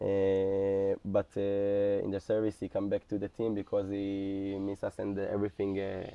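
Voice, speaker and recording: A man's fairly low, monotone voice at a moderate pace, with hardly any pauses and flat intonation. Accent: Israeli. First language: Hebrew. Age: 20s. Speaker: soldier. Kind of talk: interview. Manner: halting.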